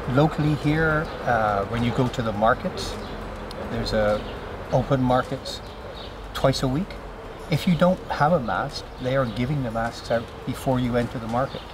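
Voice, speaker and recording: A man's voice comes through with long, frequent pauses. The sound is dry with no echo, and there is noticeable background noise. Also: ordinary pitch variation, moderate pace. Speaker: interviewee. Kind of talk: interview answer. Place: garden.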